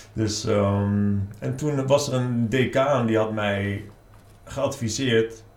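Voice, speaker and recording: A man speaks at a very slow pace with ordinary pitch variation. Audible room echo fills the recording. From Netherlands, Nijmegen. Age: 40s. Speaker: author. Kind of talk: interview.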